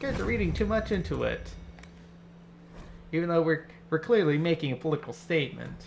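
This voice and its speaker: Amid music in the background, a man talks at a very fast pace yet with long, frequent pauses. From California. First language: Spanish. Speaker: gaming streamer. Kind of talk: casual gameplay chat. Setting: living room at night.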